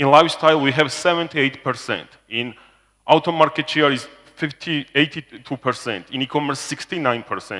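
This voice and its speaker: Loud and in a bright, sharp tone, a man with a Georgian accent speaks at a fairly high pitch and moderate pace with ordinary pitch variation. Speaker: business executive presenting to investors. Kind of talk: corporate presentation. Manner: halting, with fillers.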